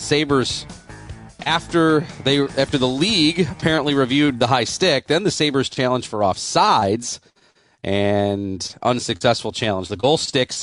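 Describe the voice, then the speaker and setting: Against a quiet background, a man with an unremarkable speaking voice talks at a moderate pace and medium pitch. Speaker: radio host. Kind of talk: postgame radio show hosting, play-by-play recap of the game's key moments. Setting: studio.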